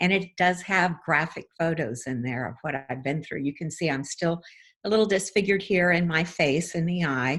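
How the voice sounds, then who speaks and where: With an unremarkable speaking voice, a woman talks at a moderate pace in a fairly low pitch with ordinary pitch variation, in a very clean recording with a silent background. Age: 60s. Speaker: wellness center owner, trauma recovery teacher. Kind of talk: interview conversation.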